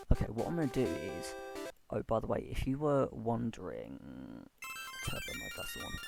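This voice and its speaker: At a moderate pace, the speaker leaves long, frequent pauses while music plays in the background. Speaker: gaming video host. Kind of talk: casual gameplay commentary.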